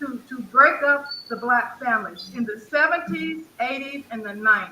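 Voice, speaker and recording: A woman with an American accent speaks at a moderate pace in a high pitch, her intonation lively and her loudness swinging widely over noticeable background noise. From Texas. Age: 60s. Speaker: caller. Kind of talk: casual chat. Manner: halting.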